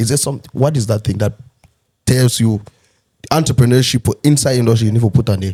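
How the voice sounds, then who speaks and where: At a very fast pace, a man talks at medium pitch in a dark, mellow tone, somewhat breathy, with ordinary pitch variation. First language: not English. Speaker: podcast host. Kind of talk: casual chat.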